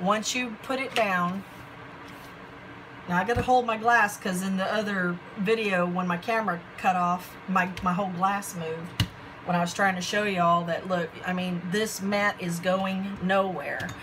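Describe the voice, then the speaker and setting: There is audible room echo around this woman's voice. She speaks at a fairly slow pace with fairly even intonation. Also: medium pitch for a woman. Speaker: craft hobby vlogger. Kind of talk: product haul show-and-tell. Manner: halting, self-described stuttering; casual, chatty.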